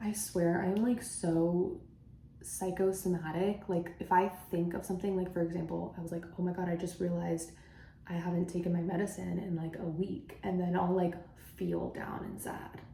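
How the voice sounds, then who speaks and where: A woman's fairly low-pitched voice with audible room echo and noticeable background noise. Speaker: beauty vlogger. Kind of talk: makeup tutorial chat. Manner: stutters often on camera; casual, filler-heavy.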